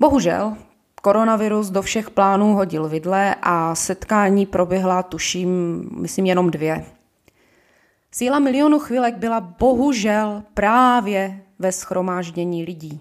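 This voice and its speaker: A woman's medium-pitched voice, with ordinary pitch variation, unfolds very slowly. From Ostrava, Czechia. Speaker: podcast host, shop manager. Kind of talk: political monologue podcast.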